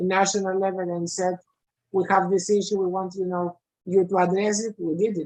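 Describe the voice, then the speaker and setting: The intonation stays fairly even at a moderate pace. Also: woman. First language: not English. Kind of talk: online meeting discussion.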